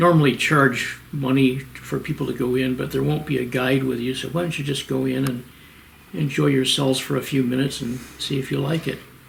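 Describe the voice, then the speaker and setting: A man's medium-pitched voice at a fairly quick pace with ordinary pitch variation, plus audible room echo and noticeable background noise. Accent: American. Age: 80s+. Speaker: retired professor and cave geologist. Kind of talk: interview. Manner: halting.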